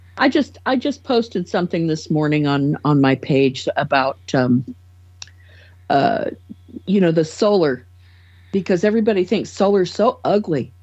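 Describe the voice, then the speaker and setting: A woman with an American accent, very wide pitch swings, very even loudness, a moderate pace and long, frequent pauses. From California. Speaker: podcast panelist. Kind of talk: casual chat.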